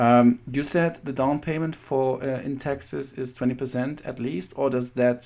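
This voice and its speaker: A dark, mellow tone with a German accent and fairly even intonation. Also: man. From Germany. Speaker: podcast host. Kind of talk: interview. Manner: halting.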